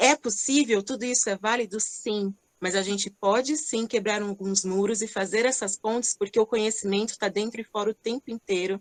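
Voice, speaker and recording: A woman's fairly high, normal speaking voice at a moderate pace, with hardly any pauses, fairly even intonation and a dry, close sound with no echo. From Greater São Paulo, Brazil (Rio Grande da Serra). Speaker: entrepreneur, company CEO. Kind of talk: online panel discussion. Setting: online event.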